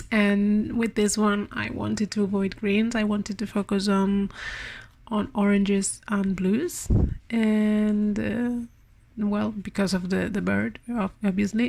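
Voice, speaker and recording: A somewhat breathy voice at a very slow pace, with monotone, flat intonation and very even loudness. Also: woman, medium pitch for a woman, very clean recording, silent background. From Spain. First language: Spanish. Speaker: part-time artist. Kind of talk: art vlog voiceover. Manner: halting, many repetitions and fillers.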